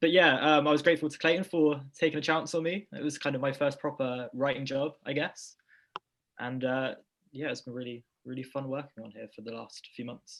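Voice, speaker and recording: Over a quiet background, a man with a fairly high pitch talks at a fairly quick pace, his loudness swinging greatly while his intonation stays fairly even. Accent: British. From Britain. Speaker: film website staff writer. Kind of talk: casual chat.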